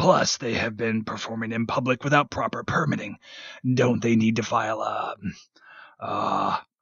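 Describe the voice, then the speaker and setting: A man uses a put-on character voice, raspy and medium in pitch. His intonation is fairly even and his pace moderate. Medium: read story. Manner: deferential, hesitant.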